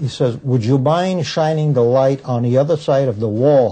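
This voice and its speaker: Somewhat breathy, a man of medium pitch speaks with ordinary pitch variation. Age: 60s. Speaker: war veteran, former prison guard. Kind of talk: interview storytelling.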